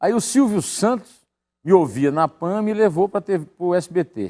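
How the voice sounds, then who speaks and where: A man's high voice with lively intonation at a fairly slow pace, dry and close with no echo. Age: 60s. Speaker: journalist and writer, political commentator. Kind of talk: interview, casual conversation. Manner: improvised, hesitant with repetitions.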